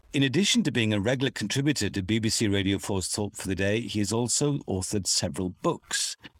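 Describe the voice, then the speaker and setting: A man with a fairly low pitch and ordinary pitch variation uses a normal speaking voice, with a dry, close sound and no echo. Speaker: radio host. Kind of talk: interview introductions and conversation.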